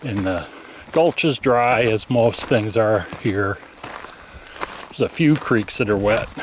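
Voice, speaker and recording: A man talks at a very slow pace in a medium pitch, with long, frequent pauses. His pitch varies in an ordinary way over noticeable background noise. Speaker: travel vlogger. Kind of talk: vlog narration while hiking. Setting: outdoors on a hiking trail.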